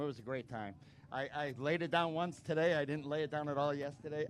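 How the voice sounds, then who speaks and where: Fairly quick and fairly high-pitched, this man has a normal speaking voice. His pitch variation is ordinary. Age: 60s. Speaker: amateur dirt bike racer. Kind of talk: post-race interview. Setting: outdoors at a motocross track.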